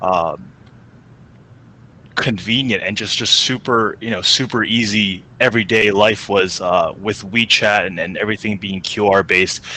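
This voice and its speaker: Over noticeable background noise, a man with an American accent speaks at a moderate pace in a fairly low pitch with fairly even intonation. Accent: mostly American, slight Chinese. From China. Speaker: coffee startup founder. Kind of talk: panel discussion.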